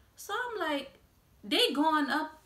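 A woman talks fairly slowly, and the room around her gives off an audible echo. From US South, New Orleans; Louisiana. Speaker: YouTuber; vlogger. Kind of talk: casual vlog monologue. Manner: hesitant, frequent um fillers. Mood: frustrated about prices. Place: home room. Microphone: phone near.

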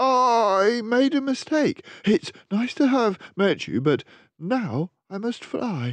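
A man's put-on character voice, extremely high in pitch, at a very slow pace. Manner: spluttering, flustered.

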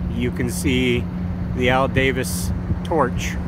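Loud background noise behind a man, the sound dry with no echo. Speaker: channel host. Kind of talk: casual tour narration. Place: street.

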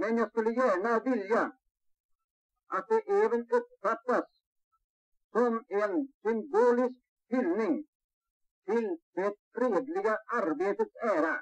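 A man's extremely high-pitched voice at a very slow pace, broken by long, frequent pauses, over a quiet background. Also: lively intonation. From Sweden. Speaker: company owner giving speech. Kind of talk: formal speech to employees, archive recording. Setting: event hall with audience. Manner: formal, measured, dignified; slow, oratorical. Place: hall. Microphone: old recording.

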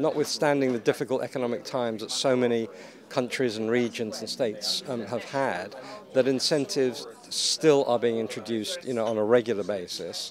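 Against noticeable background noise, yet with a dry sound and no echo, a man speaks fairly quickly with ordinary pitch variation. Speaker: guest. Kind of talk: interview answer. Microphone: handheld.

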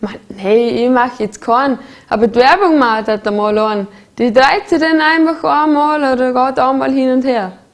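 A high-pitched woman's voice with lively intonation and a Vorarlberg accent. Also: moderate pace. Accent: Bregenzerwald dialect. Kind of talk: humorous promotional explainer. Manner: casual, chatty.

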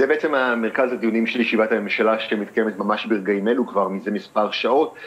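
A man at a moderate pace. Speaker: news correspondent. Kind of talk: live news report answer. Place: home room.

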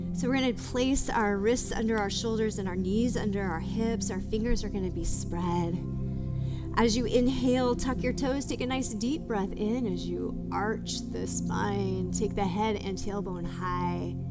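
Loud music plays in the background. Over it, a woman speaks at a fairly slow pace. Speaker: yoga instructor. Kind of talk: guided exercise instruction. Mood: calm, soothing. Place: studio.

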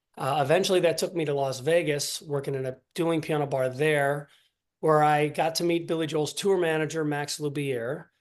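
Over a quiet background, a man with a plain, everyday voice speaks at a fairly high pitch and a moderate pace with fairly even intonation. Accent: American. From Ohio, US Midwest. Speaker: singer and pianist. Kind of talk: interview. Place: home room. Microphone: video call.

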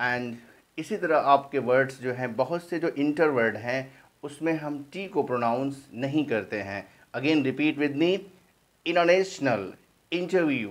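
Speaking very slowly, a man uses lively intonation at a fairly high pitch. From India. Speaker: English teacher. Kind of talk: tutorial. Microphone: phone near.

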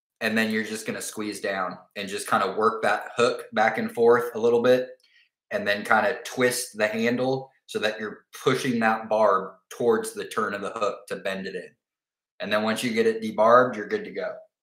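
Room echo is audible around a man with a fairly low pitch. His tone is fairly bright and his intonation fairly even. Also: moderate pace.

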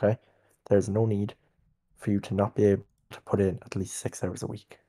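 This man has a dark, mellow tone and a fairly low pitch. He speaks at a moderate pace. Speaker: game server staff leader. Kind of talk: staff meeting. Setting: online voice chat. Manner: stern.

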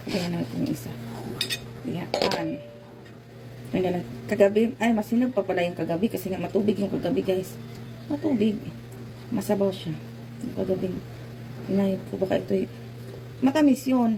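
Over music in the background, a woman speaks at a fairly quick pace and medium pitch, with very wide pitch swings and long, frequent pauses. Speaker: vlogger. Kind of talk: casual chat. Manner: stumbling.

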